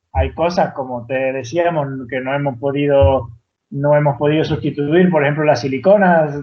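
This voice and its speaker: A man with a fairly high pitch, ordinary pitch variation and a moderate pace. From Venezuela, Canarian mother, raised partly in Andalusia. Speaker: tiny house builder. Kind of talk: podcast interview. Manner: halting, many repetitions and false starts.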